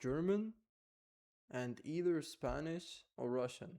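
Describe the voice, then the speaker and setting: A man speaks with an Arabic accent and ordinary pitch variation. His tone is dark and mellow. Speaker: vlogger. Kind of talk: personal vlog monologue. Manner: halting, many fillers and restarts.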